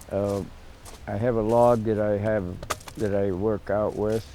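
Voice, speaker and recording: A man of medium pitch at a fairly slow pace, with noticeable background noise. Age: 80s+. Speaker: former midget auto racer. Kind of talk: documentary interview.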